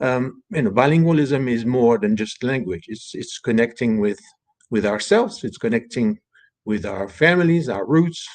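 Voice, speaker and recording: A man with a French accent talks at a moderate pace, his medium pitch carried by lively intonation. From France. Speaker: author and bilingualism advocate. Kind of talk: panel interview. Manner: halting, many fillers and repetitions.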